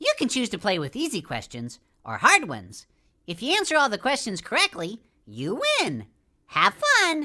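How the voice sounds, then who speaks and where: At a moderate pace, a woman uses a high-pitched cartoonish character voice. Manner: friendly, upbeat.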